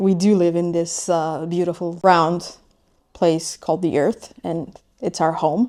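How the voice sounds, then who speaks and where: A woman with a non-native accent, fairly low in pitch, with a dark, mellow tone, fairly even intonation and a fairly slow pace. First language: not English. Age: 30s. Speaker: vlogger. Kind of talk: personal vlog monologue. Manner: halting, with hesitations.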